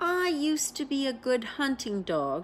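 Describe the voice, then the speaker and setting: Using a put-on character voice, a woman speaks at a high pitch and moderate pace with clear background noise behind her. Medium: read story.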